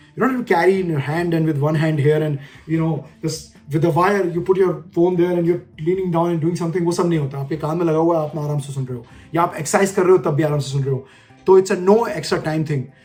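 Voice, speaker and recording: Amid noticeable background noise, a man talks very fast at a high pitch with ordinary pitch variation. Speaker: leadership coach. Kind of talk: casual tutorial talk in Hindi-English mix.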